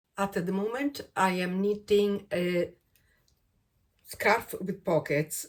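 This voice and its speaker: A woman with an Italian accent speaks at a medium pitch. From Italy, Rome. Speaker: crochet and knitting vlogger. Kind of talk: casual vlog introduction. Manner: hesitant, with fillers.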